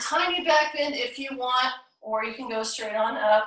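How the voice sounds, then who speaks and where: At a fairly slow pace, a woman speaks in an ordinary speaking voice, fairly high in pitch, with ordinary pitch variation. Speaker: yoga instructor. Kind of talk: live-streamed yoga class instruction, cueing poses and breath. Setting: video call, live Zoom. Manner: calm, soothing, unhurried; encouraging, inclusive, with frequent pose cues.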